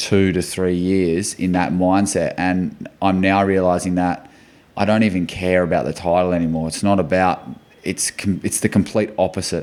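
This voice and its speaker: A man's very deep, low voice in an Australian accent. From Western Australia (Port Hedland). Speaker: football club captain. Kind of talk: podcast interview. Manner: loud.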